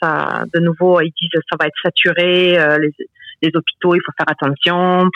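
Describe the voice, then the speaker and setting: A woman talks at a medium pitch and a fairly slow pace in a flat monotone. The sound is dry and close with no echo. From France. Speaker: regular listener. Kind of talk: casual phone chat.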